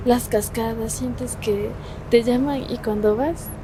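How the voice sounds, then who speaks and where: Against noticeable background noise, a woman speaks at a fairly slow pace with ordinary pitch variation. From Kichwa Kayambi community of Paquiestancia, Cayambe, Ecuador. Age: young. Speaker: law student and content creator. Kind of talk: interview answer.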